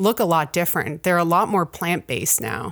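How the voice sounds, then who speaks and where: A woman's fairly low voice with a Canadian accent, an ordinary speaking voice, ordinary pitch variation, and a very clean recording with a silent background. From Ontario, Canada. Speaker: university professor and researcher. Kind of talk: interview.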